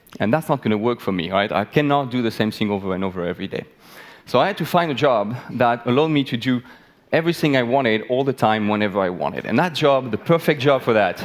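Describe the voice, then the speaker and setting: Talking very fast, a man with a medium pitch sounds animated, his intonation lively. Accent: French. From France. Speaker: biologist. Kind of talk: talk to live audience. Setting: stage with audience.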